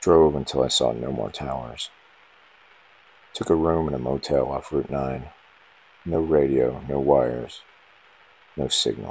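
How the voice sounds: The voice has a slightly husky edge and some vocal fry. It moves at a slow pace. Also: man.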